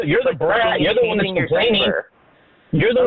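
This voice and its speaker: A man with a high pitch speaks at a fairly quick pace, his intonation lively and his loudness very even, over noticeable background noise. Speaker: radio call-in guest.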